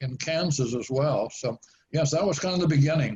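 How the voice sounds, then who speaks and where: A man speaks in a somewhat breathy voice. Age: 90s. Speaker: author. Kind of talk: interview. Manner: halting.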